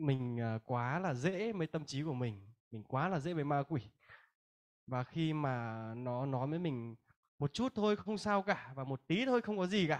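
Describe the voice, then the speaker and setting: Against a quiet background, a man with a fairly high pitch talks at a fairly slow pace with lively intonation. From northern Vietnam, Hanoi; Vietnam. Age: 20s. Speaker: Bible school student. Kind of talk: testimony; religious testimony speech. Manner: halting. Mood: earnest, reflective. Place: hall. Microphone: handheld.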